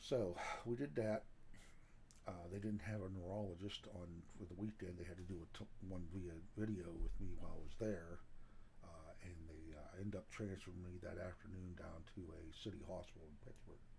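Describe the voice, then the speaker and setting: With a very deep, low pitch and an American accent, a man speaks at a moderate pace and ordinary pitch variation amid audible room echo. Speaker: outdoors channel owner. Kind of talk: vlog health update.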